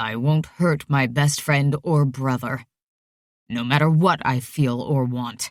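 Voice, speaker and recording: A man puts on a strained character voice at medium pitch, speaking at a fairly slow pace. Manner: flat, restrained.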